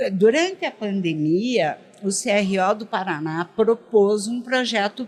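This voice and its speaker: Very slowly and with lively intonation, a woman speaks in a southern Brazilian accent over noticeable background noise. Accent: southern Brazilian (gaúcho). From Rio Grande do Sul, Brazil. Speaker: dentistry education expert. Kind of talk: podcast interview. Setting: at a dental congress event.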